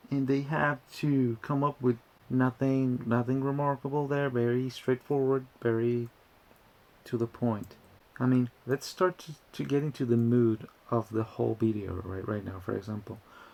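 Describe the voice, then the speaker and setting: A moderately paced voice with a Spanish accent and ordinary pitch variation. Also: man, medium pitch for a man. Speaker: YouTuber. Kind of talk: casual commentary video. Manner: halting, with many restarts.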